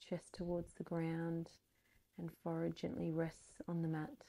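A woman speaks at a fairly slow pace in a fairly low pitch, using fairly even intonation and an ordinary speaking voice. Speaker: yoga instructor. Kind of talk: guided yoga class with spoken pose cues and breathing instructions. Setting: online video practice, instructor on a mat. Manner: calm, soothing, slow and even pacing; gentle and encouraging, offering easier or deeper options.

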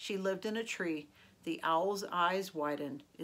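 The text is read aloud plainly, with normal shifts in pitch.

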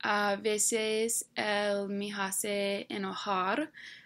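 A woman with an English accent at a very slow pace, her intonation fairly even. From Delaware, US. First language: English (speaking Spanish). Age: 20s. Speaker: university student. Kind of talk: reading aloud. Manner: halting. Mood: relaxed, slightly self-conscious. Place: home room. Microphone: webcam.

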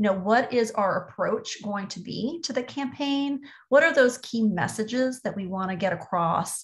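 In an American accent, a woman speaks at a moderate pace and a fairly high pitch. Her voice is somewhat breathy, over a quiet background. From US South, Orlando, Florida; Florida. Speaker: marketing executive; presenter. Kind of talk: webinar presentation. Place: home room. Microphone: webcam.

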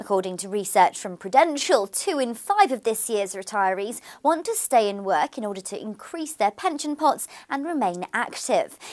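A woman talks at a moderate pace with very wide pitch swings and big swings in loudness. The background is quiet. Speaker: news presenter. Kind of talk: news reading. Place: studio.

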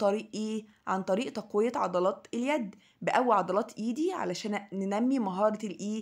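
A woman talks at a fairly high pitch in an Egyptian accent, with hardly any pauses. The recording is very clean, the background silent. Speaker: English teacher. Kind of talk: lesson for young children.

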